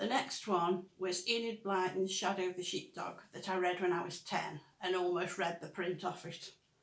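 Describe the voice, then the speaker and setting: With a Stoke accent, a woman speaks at a moderate pace in a medium-pitched voice. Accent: Stoke (Potteries). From Stoke-on-Trent, England. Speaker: author, book vlogger. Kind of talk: casual chat, partly read from notes.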